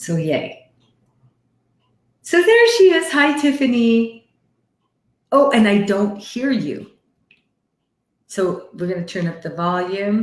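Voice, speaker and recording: Her voice fairly high and somewhat breathy, a woman with a Canadian accent speaks at a very slow pace with very wide pitch swings and long, frequent pauses. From Canada. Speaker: psychic medium hosting live readings. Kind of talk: live stream chat and readings. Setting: live video call stream with headset. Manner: animated.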